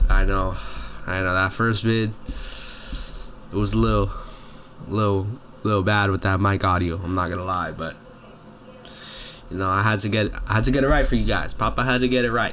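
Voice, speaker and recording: A man speaks at a fairly quick pace with a fairly low pitch and fairly even intonation. Long, frequent pauses break up his speech, and room echo is audible. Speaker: youtuber reviewing movies. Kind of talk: casual monologue review. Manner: halting with stutters and fillers.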